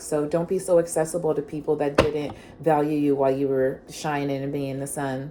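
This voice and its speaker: Over noticeable background noise, a woman talks at a fairly quick pace in a very deep, low pitch with monotone, flat intonation. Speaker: tarot reader. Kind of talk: tarot reading. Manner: fast.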